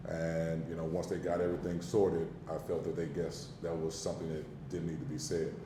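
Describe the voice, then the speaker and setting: With a very deep, low pitch, a man talks at a fairly quick pace with hardly any pauses, and the room echo is audible. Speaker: basketball coach. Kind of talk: press conference. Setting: press conference room. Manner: animated.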